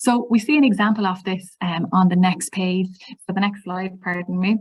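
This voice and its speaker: In an Irish accent, a woman talks with ordinary pitch variation and a somewhat breathy voice. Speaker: teacher trainer. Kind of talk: webinar presentation. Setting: online webinar. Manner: fast.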